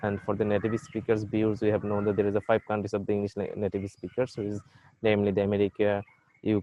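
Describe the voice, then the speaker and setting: A man with a Bengali accent talks with a fairly low pitch. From Bangladesh. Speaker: university lecturer. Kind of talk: lecture. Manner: halting.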